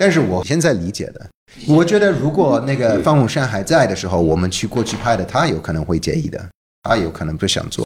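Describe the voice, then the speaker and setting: Fairly quick and somewhat breathy, a man's voice swings very widely in pitch. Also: medium pitch for a man. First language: English (speaking Chinese). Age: 40s. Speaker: documentary director. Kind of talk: casual interview. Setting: office.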